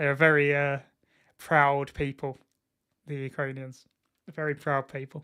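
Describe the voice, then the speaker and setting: On a very clean recording with a silent background, a man with an Essex accent speaks at a fairly high pitch, with long, frequent pauses. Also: fairly slow pace. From England, Essex. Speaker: football streamer. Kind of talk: live watchalong commentary. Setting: live stream. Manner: animated.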